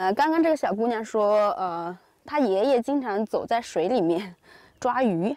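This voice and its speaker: A woman at a fairly high pitch and fairly slow pace, with a dark, mellow tone, lively intonation, dry sound with no echo and a quiet background. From rural China. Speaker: Chinese teaching vlogger. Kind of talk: casual vlog narration. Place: open country. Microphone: phone near.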